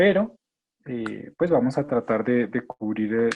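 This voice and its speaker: A fairly slow pace with fairly even intonation. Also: man. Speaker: geriatrician. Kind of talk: lecture.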